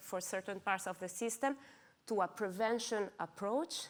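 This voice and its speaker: A woman's medium-pitched voice comes through in a very clean recording with a silent background. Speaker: insurance strategy and data analytics director. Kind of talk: conference talk. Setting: stage with audience. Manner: fast.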